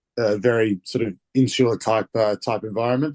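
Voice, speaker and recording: A man with a dark, mellow tone and fairly even intonation, with an Australian accent. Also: dry, close sound with no echo. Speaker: rugby player. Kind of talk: interview.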